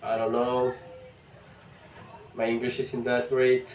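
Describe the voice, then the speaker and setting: Against noticeable background noise, a man speaks with a strong non-native accent. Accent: thick non-native. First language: not English. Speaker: vlogger. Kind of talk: casual vlog monologue. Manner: halting.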